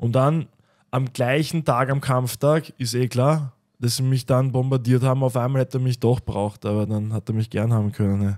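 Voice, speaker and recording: The speech moves at a moderate pace with fairly even intonation against a quiet background. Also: man. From Lower Austria. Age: 30s. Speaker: MMA fighter; podcast guest. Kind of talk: casual chat. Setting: studio. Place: studio. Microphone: studio mic.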